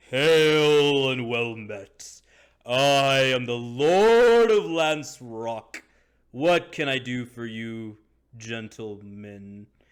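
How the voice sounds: A man speaks very slowly in a booming, put-on character voice at a medium pitch, his loudness swinging widely, on a very clean recording with a silent background.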